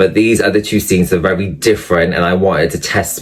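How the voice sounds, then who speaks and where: Here a man talks in a very deep, low pitch with a Welsh accent. His pitch varies in an ordinary way. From Wales. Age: 30s. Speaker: actor and online creator. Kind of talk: interview. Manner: hesitant, many fillers.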